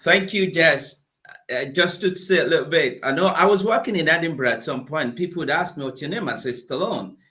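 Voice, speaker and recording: A man's high voice with a bright, sharp tone, ordinary pitch variation and a fairly quick pace. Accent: Nigerian. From Nigeria. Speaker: motivational speaker and coach. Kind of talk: interview.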